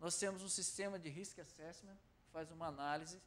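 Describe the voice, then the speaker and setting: In a São Paulo accent, a man speaks at a fairly slow pace with a high pitch. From Brazil, São Paulo. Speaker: corporate supply director, speaker. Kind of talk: lecture.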